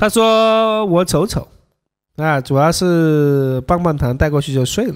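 Against a quiet background, a man with a Sichuan accent talks in a high pitch at a fairly slow pace, his tone animated and his intonation lively. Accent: Sichuan-accented Mandarin. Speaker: dating coach livestreamer. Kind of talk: livestream commentary. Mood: joking, casual. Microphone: studio mic.

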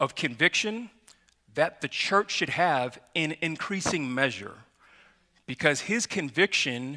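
A man's bright, sharp voice at a fairly slow pace against a quiet background. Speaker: pastor. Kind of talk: sermon. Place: church.

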